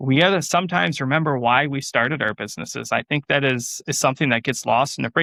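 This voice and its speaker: This loud man speaks at a very fast pace with a fairly high pitch and a bright, sharp tone. The background is quiet. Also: dry, close sound with no echo. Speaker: farmer and small business owner. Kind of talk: interview conversation. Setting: podcast interview. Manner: animated.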